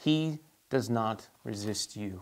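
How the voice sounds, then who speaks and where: Against a quiet background, a man is talking. His pitch varies in an ordinary way. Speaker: church teacher. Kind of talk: bible study teaching. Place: studio. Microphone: lapel.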